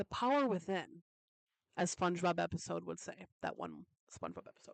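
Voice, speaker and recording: The tone is animated. The sound is dry and close with no echo, against a quiet background. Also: woman. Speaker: solo podcaster. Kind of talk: casual chat. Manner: fast.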